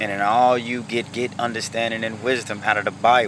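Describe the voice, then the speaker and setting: At a moderate pace, a man with medium pitch speaks over noticeable background noise. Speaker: street preacher. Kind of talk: sermon. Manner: halting, repeats words.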